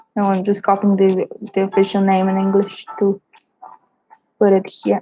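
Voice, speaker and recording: Music plays in the background as a woman speaks at medium pitch and moderate pace with monotone, flat intonation, in a dry, close sound with no echo. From Brazil. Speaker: travel vlogger. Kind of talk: casual chat. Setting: livestream.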